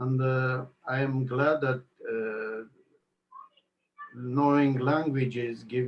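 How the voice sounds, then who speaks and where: A man with an Armenian accent talks in monotone, flat intonation. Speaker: network marketing entrepreneur. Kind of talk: interview. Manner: halting.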